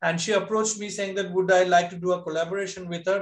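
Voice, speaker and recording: With audible room echo and a quiet background, a man speaks at a high pitch with fairly even intonation. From India, Bengal tea garden region; India. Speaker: textile artisan; panelist. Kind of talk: presentation. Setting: video call. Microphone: video call.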